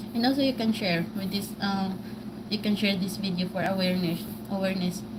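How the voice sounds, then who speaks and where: A woman's voice with a strong Filipino accent and fairly even intonation, with audible room echo. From Philippines, Cebu (Bisaya speaker). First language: Cebuano (Bisaya). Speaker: vlogger. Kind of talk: livestream monologue. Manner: halting, searching for English words.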